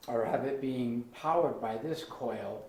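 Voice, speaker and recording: With audible room echo, a man talks at a fairly slow pace in a fairly high pitch with ordinary pitch variation. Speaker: maker and tinkerer. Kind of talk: casual demonstration video. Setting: workshop. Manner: casual, rambling. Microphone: sound quality problems.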